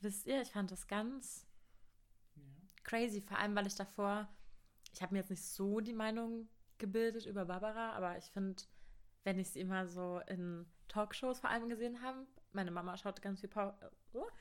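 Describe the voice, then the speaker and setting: A woman at a medium pitch and moderate pace, with fairly even intonation and long, frequent pauses. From Brandenburg, eastern Germany (Cottbus). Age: 20s. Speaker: university student. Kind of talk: casual chat.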